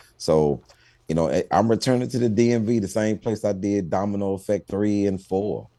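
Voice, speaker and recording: In a very clean recording with a silent background, a man speaks at a moderate pace in a fairly low pitch, with ordinary pitch variation and a dark, mellow tone. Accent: Houston. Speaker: stand-up comedian. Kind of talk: TV interview.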